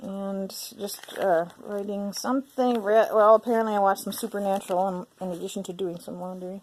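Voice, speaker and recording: A woman with an unremarkable speaking voice holds a medium pitch and fairly even intonation, though her loudness swings widely. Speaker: journaling YouTuber. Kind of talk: casual journal flip-through.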